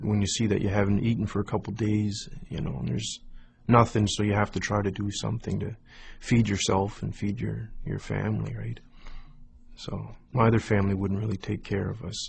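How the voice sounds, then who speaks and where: Speaking at a fairly quick pace with a Maritime Canadian accent, a man with a fairly low pitch shows vocal fry and ordinary pitch variation. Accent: Canadian (Maritimes). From Nova Scotia, Canada. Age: 20s. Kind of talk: testimony. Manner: hesitant, many fillers.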